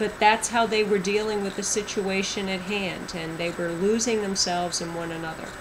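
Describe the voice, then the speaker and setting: Medium-pitched female speech at a moderate pace with fairly even intonation, audible room echo and noticeable background noise. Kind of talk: testimony. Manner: loud.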